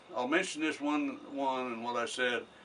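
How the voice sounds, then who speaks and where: A man is speaking at a moderate pace. His tone is bright and sharp. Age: 80s+. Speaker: war veteran. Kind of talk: interview answer. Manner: conversational storyteller.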